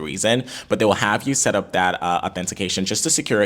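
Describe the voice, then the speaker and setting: A man talks at a very fast pace in an animated tone. His pitch is very deep and low, and there is noticeable background noise. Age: 20s. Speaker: YouTube content creator. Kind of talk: tutorial.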